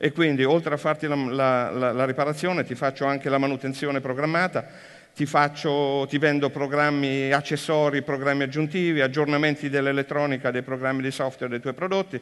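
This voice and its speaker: Fairly high in pitch, a man speaks at a fairly quick pace in a monotone, flat delivery. The background is quiet. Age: 50s. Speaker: business executive; speaker. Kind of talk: conference talk.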